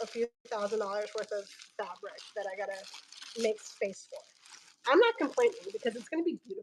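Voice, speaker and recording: A loud woman talks at a moderate pace with an animated tone. Her pitch swings very widely. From Filipino heritage. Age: 30s. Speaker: online fabric seller. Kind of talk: live sales stream.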